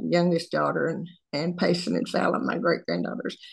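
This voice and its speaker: A woman's fairly low voice with vocal fry and a Southern US accent, over a quiet background. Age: 80s+. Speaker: social media creator. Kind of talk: casual chat.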